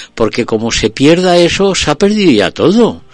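A man speaks with very wide pitch swings. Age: 60s. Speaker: radio host. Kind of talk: casual chat; radio show opening.

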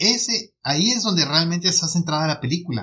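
With a plain, everyday voice, a man speaks at a moderate pace using lively intonation. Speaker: podcast co-host, film reviewer. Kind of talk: casual chat.

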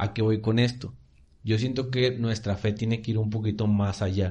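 A man's somewhat breathy, fairly low voice has a dark, mellow tone and fairly even intonation over a quiet background. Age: young. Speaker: church youth podcast co-host. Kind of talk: casual chat.

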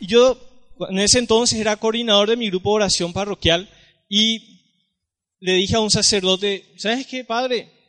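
A man talks at a moderate pace with a high pitch and fairly even intonation. His pauses are long and frequent. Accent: Paraguayan. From Paraguay. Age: 20s. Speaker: lay youth preacher. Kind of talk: talk at a church youth gathering.

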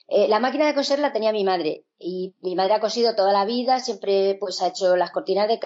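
With a plain, everyday voice, a woman talks at a fairly quick pace, using a medium pitch and ordinary pitch variation. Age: 50s. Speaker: sewing teacher. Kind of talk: interview conversation.

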